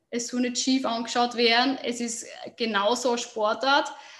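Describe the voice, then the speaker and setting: A woman's high, monotone voice with flat intonation in a Burgenland accent. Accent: Austrian German, Burgenland. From Austria, southern Burgenland. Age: 20s. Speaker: football player and youth football coach. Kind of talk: interview. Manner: hesitant, many filler sounds.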